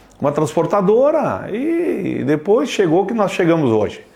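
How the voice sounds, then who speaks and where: A man talks at a fairly slow pace. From Antônio Prado area, Rio Grande do Sul, Brazil. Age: 70s. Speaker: retired trucking company owner. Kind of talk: documentary interview.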